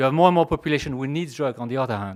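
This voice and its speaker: A man's medium-pitched voice with a French accent and lively intonation, on a very clean recording with a silent background. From France. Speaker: pharmaceutical executive. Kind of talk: conference talk. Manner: halting.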